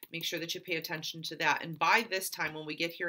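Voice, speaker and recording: This woman's voice is pitched fairly low. Her tone comes across bright and sharp. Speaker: fitness coach. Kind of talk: tutorial. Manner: casual, encouraging.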